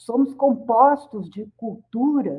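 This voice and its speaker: At a very slow pace, a woman speaks. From Brazil, rural São Paulo region. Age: 60s. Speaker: professor and psychologist. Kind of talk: radio interview.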